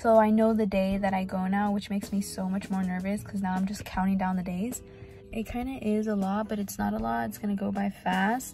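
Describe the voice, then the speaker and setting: A woman's fairly quick speech with ordinary pitch variation, dry with no echo, over faint music in the background. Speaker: trucking student vlogger. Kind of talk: casual vlog chat. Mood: nervous but upbeat. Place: car. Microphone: phone near.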